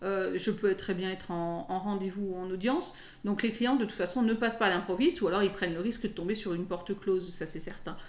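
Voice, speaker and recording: Audible room echo surrounds a woman speaking fairly quickly in a medium pitch with ordinary pitch variation. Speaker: lawyer. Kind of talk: interview.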